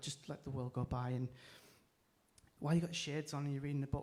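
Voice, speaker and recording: A very fast delivery in a northeast English accent. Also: man. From northeast England. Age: 30s. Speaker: comedian. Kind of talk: stand-up. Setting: stage with audience, livestreamed.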